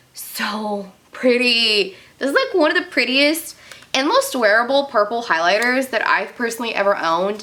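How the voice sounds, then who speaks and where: Noticeable background noise surrounds a woman's high-pitched voice. She speaks at a moderate pace with lively intonation. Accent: American. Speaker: beauty youtuber. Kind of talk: casual makeup declutter video. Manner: animated.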